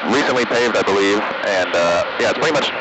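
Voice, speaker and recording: Through loud background noise, a man talks at a fairly quick pace, the sound dry with no echo. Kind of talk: casual vlog chat. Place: plane. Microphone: headset.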